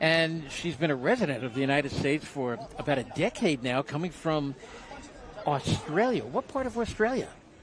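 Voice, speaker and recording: With a Brooklyn accent, a man speaks at a moderate pace in a fairly high voice with very wide pitch swings. Crowd noise fills the background. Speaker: boxing commentator. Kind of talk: casual chat; live commentary. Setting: ringside at boxing event.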